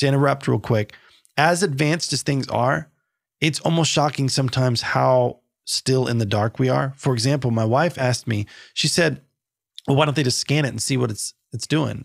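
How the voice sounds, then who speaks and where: Speaking with an American accent at a moderate pace, a man uses a medium pitch and ordinary pitch variation on a very clean recording with a silent background. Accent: Southern accent when tired. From US South. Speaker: podcast co-host. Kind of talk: casual chat.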